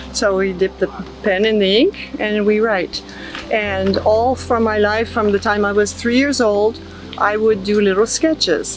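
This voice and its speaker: A woman with a French accent speaks at a medium pitch and a fairly slow pace, her intonation fairly even. Her loudness stays very even over noticeable background noise. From southern France. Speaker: artist. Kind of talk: casual interview. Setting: outdoor festival.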